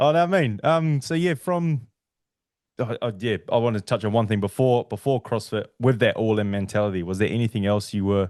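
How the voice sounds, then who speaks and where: Speaking fairly quickly with a New Zealand accent, a man uses lively intonation at a medium pitch. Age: 30s. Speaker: podcast host. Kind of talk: casual chat.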